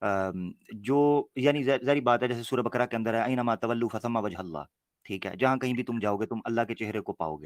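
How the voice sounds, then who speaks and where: A man talks at a moderate pace with hardly any pauses and ordinary pitch variation. The recording is very clean with a silent background, and the sound is dry and close with no echo. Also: medium pitch for a man. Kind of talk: religious debate discussion.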